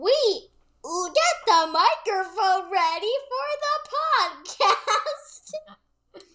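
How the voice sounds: Putting on a character voice, a woman speaks very slowly at an extremely high pitch with very wide pitch swings.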